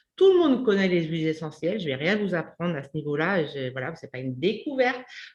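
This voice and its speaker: A woman's fairly low voice at a very fast pace, with very wide pitch swings and big swings in loudness. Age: 50s. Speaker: community host, menopause channel. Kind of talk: interview.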